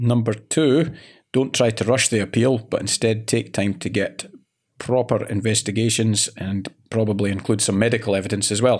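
A man speaks in a Scottish accent with fairly even intonation. The recording is very clean, with a silent background. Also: medium pitch for a man, moderate pace. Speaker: employment lawyer. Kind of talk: casual professional chat with banter. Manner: joking, playful.

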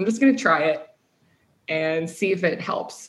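With a Midwestern American accent, a woman talks at a medium pitch. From US Midwest. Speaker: sales tech startup founder. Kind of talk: casual interview.

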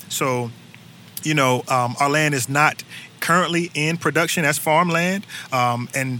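Fairly high in pitch, a man speaks with a North Carolina accent. His intonation is fairly even. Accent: Southern US (North Carolina). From North Carolina, Durham. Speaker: urban agriculture worker and musician. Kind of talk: casual interview. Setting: outdoors on a back porch.

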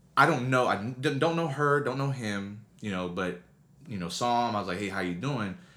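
A man at medium pitch with lively intonation, a moderate pace and audible room echo. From military family, moved around; Texas since 1996. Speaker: youth motivational speaker. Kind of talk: interview.

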